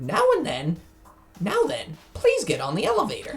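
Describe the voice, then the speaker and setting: Using a put-on character voice, a man talks at a moderate pace with music in the background. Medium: game stream. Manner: gleeful, mocking.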